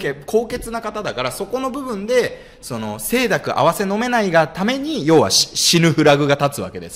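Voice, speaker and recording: Very wide pitch swings from a man with a high voice, at a moderate pace. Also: hardly any pauses. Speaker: show co-host. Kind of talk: casual chat. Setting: live stream. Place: studio. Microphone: studio mic.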